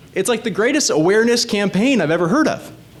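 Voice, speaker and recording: Talking at a fairly quick pace, a man sounds animated, with very wide pitch swings. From born in the Caribbean. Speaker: state legislator running for reelection. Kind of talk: candidate talk at community meeting. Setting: community meeting with audience.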